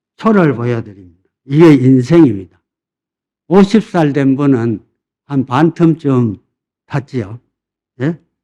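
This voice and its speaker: Dark and mellow in tone, a man speaks at a fairly high pitch with lively intonation. His pace is very slow, with long, frequent pauses. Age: 80s+. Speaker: senior pastor. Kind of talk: sermon. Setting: church. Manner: animated, call-and-response with congregation.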